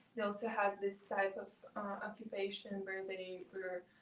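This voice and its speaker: The speaker talks at a fairly slow pace with a Russian accent. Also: woman. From south-east Ukraine. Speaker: student intern. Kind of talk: interview. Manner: halting.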